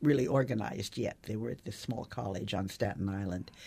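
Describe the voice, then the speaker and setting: A woman with vocal fry and lively intonation at a moderate pace. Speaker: newspaper columnist and author. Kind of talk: interview. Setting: studio. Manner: halting.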